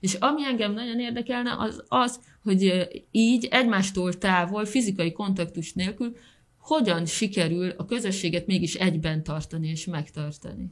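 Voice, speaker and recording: A woman speaks with lively intonation at a medium pitch. Her voice is somewhat breathy. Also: moderate pace. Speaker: podcast co-host. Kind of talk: interview. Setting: studio.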